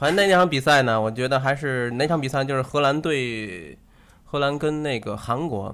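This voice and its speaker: A man speaks in an unremarkable speaking voice at a moderate pace, with a medium pitch and ordinary pitch variation. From Tianjin, China. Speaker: football fan. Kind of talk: casual chat.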